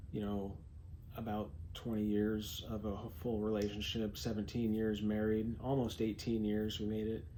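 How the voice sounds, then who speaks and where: Monotone, flat intonation and a dark, mellow tone come at a moderate pace, with audible room echo. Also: man, fairly low pitch for a man. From California. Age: 40s. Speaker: vlogger. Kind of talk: personal vlog monologue. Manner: halting, many fillers.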